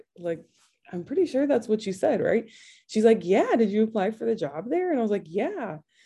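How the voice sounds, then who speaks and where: In an American accent, a woman with a dark, mellow tone and a somewhat breathy voice makes very wide pitch swings. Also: fairly high pitch for a woman, fairly quick pace, quiet background. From Michigan. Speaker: athletics association training manager. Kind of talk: interview.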